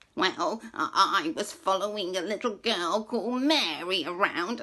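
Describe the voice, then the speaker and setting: This is a put-on character voice. Its pitch sits fairly high. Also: moderate pace. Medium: read story.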